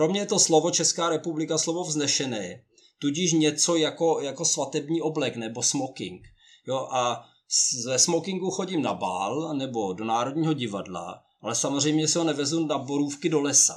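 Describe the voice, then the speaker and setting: This man talks at a moderate pace with lively intonation, a fairly high pitch and some vocal fry. The recording is very clean, with a silent background. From Czechia. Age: 50s. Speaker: honorary consul and career coach. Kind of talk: interview.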